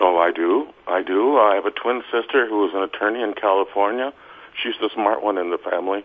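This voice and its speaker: A man talks at a fairly quick pace in a fairly low pitch. It is a plain, everyday voice with ordinary pitch variation. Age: 60s. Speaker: hypnotherapist. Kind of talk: interview.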